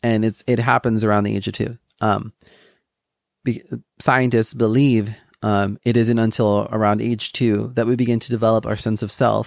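In a very clean recording with a silent background, a man speaks at a medium pitch in a monotone, flat intonation, with a dry, close sound and no echo. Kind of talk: casual devotional talk. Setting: solo podcast recording. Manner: fast.

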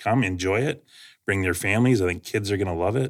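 An ordinary speaking voice from a man with a Canadian accent, fairly low in pitch with ordinary pitch variation, on a very clean recording with a silent background. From London, Ontario, Canada. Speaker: farmers market organizer. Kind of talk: casual interview.

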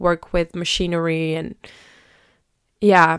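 Over a very clean recording with a silent background, a woman talks at a very slow pace in a monotone, flat intonation. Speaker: podcaster. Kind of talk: personal storytelling monologue. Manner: casual, many fillers and laughs.

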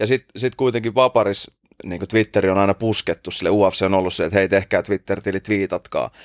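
A man's unremarkable speaking voice, fairly low in pitch, at a fairly quick pace with fairly even intonation and a dry, close sound with no echo. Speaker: podcast host. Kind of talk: casual chat.

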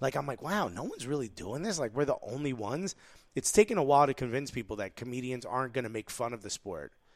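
This man has an American accent and a medium pitch. He talks at a very fast pace with lively intonation. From Newark, New Jersey. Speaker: stand-up comedian and podcast co-host. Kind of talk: casual chat. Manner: animated.

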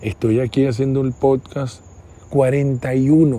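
A man speaks at a very slow pace. His tone is dark and mellow, somewhat breathy. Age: 40s. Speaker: podcast host, mentor. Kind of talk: solo reflective monologue. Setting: outdoors at night outside his house. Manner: halting, repetitive.

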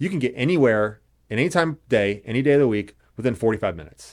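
With an American accent, a man talks at a medium pitch and with lively intonation. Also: very clean recording, silent background. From Indianapolis, US Midwest. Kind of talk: interview.

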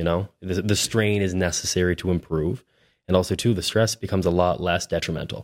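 In a Maritime Canadian accent, the speaker talks fairly quickly with fairly even intonation, on a very clean, silent-background recording that is dry and close with no echo. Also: man, very deep, low pitch for a man. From New Brunswick, Canada. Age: 20s. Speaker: realtor. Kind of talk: casual interview.

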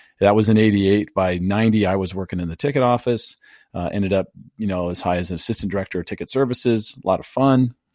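The speech comes at a very fast pace with ordinary pitch variation. The recording is very clean with a silent background and a dry, close sound with no echo. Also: man, fairly low pitch for a man. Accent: American. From US West Coast (San Diego, California). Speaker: title company executive and real estate podcaster. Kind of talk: interview conversation.

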